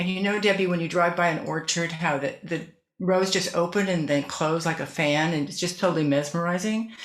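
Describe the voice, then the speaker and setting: The speech moves at a fairly quick pace with ordinary pitch variation. There is audible echo from the room. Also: woman. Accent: American. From US West (northern California). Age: 70s. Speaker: author and former decorative artist. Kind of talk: interview.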